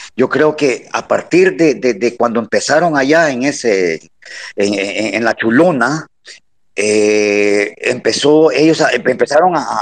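A male voice at a very slow pace, with very wide pitch swings. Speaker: retired military officer and lawyer. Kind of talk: citizen commentary in online audio room. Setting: online audio room.

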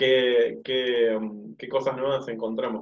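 A man's plain, everyday voice at a fairly slow pace. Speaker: radio co-host. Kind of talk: radio talk show.

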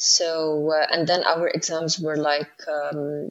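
Her voice is a woman's, pitched fairly low. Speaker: marketing and PR professional, engineer. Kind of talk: casual interview conversation. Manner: halting, with many fillers.

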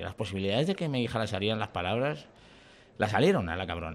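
In a very clean recording with a silent background, a man talks at a very fast pace with lively intonation. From Valladolid, Spain. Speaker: comedian. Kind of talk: casual chat.

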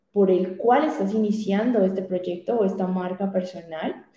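The woman's words come out fairly slowly. The room gives off an audible echo. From Colombia, Popayán. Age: young. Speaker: digital strategist. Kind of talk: interview.

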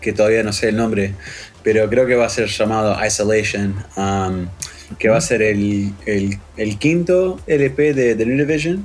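With music playing in the background, a man speaks fairly slowly at a medium pitch, his intonation lively. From Uruguay. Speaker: electronic musician. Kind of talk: interview.

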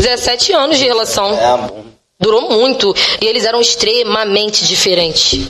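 Lively intonation marks a woman's fairly high-pitched voice. Audible room echo can be heard around her. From Baixada Fluminense, Rio de Janeiro (Nilópolis). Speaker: rapper. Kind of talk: casual chat.

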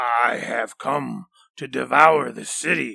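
At a fairly slow pace, a man puts on a raspy, growling character voice. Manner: growling, menacing; boasting threat.

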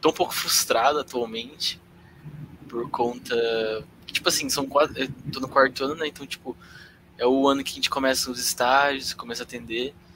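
Amid noticeable background noise, a man at medium pitch talks at a moderate pace in a monotone, flat way, with long, frequent pauses. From Londrina, Paraná, Brazil. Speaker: psychology student, podcast producer. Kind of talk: casual chat. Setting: live stream.

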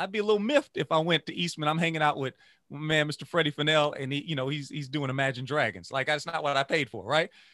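A man speaks with an American accent at a fairly high pitch. The recording is dry and close, with no echo. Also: hardly any pauses. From Louisiana. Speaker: music educator and saxophonist. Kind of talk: interview conversation. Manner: animated.

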